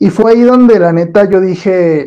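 Ordinary pitch variation in a man's dark, mellow voice. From Mexico, Torreón (La Laguna). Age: 20s. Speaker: history content creator, communication student. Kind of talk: casual interview.

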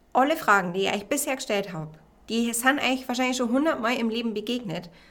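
A woman's fairly high voice, bright and sharp, with an enthusiastic, warm tone and ordinary pitch variation. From Bavaria, Regensburg. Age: 20s. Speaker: podcast host and life coach. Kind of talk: solo self-help podcast talk.

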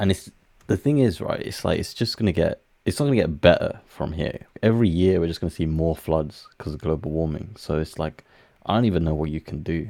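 A man's very deep, low voice, dark and mellow in tone, at a fairly quick pace with a British accent. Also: ordinary pitch variation. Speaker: podcast co-host. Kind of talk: casual chat.

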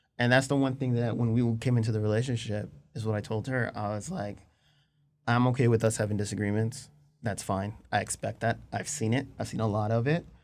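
With an unremarkable speaking voice, a man talks at a fairly quick pace in a medium pitch and with fairly even intonation. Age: 30s. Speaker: engaged partner interviewed about relationship. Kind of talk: casual interview.

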